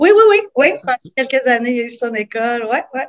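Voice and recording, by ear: A woman talks fast with lively intonation at a fairly high pitch.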